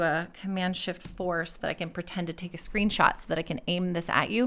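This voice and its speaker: A bright, sharp tone at a fairly quick pace. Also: woman. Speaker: accessibility and UX design mentor. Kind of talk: screen-share tutorial. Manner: halting, with fillers; casual.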